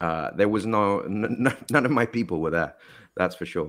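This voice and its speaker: This is a man on a very clean recording with a silent background. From Mexico City, then London from age nine. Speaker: actor. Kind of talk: podcast interview. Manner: hesitant, many fillers.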